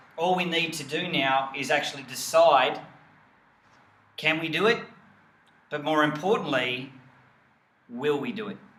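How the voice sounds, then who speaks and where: Long, frequent pauses break up the speech of a man with an Australian accent and fairly high pitch, heard through audible room echo and noticeable background noise. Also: ordinary pitch variation, moderate pace. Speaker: health coach and network marketing team leader. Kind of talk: motivational team training video. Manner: enthusiastic.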